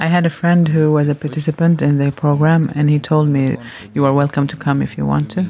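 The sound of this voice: Speaking at a fairly quick pace, a woman uses a low voice with little pitch movement.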